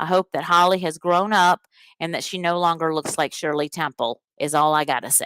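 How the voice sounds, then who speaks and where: Speaking at a moderate pace in a Southern US accent, a woman with a fairly low pitch uses an animated tone, the sound dry and close with no echo on a very clean recording with a silent background. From US Deep South, rural Alabama. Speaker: podcast host, teacher. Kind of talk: live podcast monologue.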